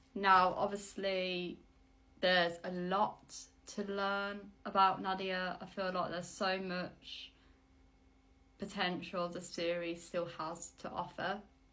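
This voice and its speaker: A woman speaks very slowly in a West Midlands accent, with long, frequent pauses and a flat monotone. Her tone is bright and sharp, and the room echo is audible. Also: medium pitch for a woman. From West Midlands, England. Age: 20s. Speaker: vlogger, aspiring actress. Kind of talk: casual vlog monologue.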